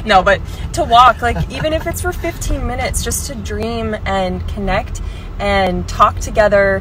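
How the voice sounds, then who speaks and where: A woman at a fairly slow pace, dry with no echo, clear music in the background. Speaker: lifestyle influencer. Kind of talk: casual vlog chat. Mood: warm, encouraging. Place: car. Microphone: phone near.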